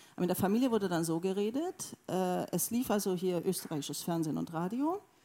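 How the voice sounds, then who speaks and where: Recorded very cleanly against a silent background, a woman speaks at a moderate pace with a fairly low pitch, ordinary pitch variation and a dark, mellow tone. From Hungary, Sopron near Austrian border. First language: Hungarian and German (bilingual) (speaking German). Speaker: novelist. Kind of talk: onstage literary conversation. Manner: halting, many hesitations.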